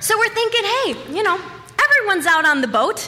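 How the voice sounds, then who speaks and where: Over noticeable background noise, a woman speaks in a raised, projected voice at a fairly quick pace with very wide pitch swings. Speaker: storyteller. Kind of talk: stand-up. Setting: stage with audience.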